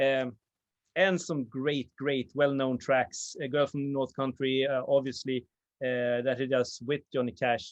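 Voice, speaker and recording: Speaking at a fairly slow pace, a man with a Swedish accent uses a fairly high pitch. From Sweden. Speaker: vinyl video channel host. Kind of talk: casual chat. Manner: halting, many fillers.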